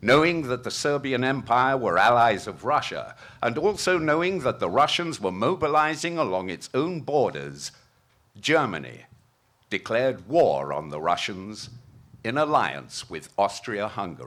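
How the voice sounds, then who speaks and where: A man speaks with very wide pitch swings. Vocal fry runs through his voice. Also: medium pitch for a man, moderate pace. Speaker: narrator. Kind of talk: historical narration at a commemoration event. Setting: outdoors.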